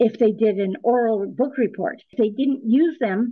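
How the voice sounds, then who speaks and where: This woman has a fairly high pitch with ordinary pitch variation. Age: 80s+. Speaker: dollmaker. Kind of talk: interview.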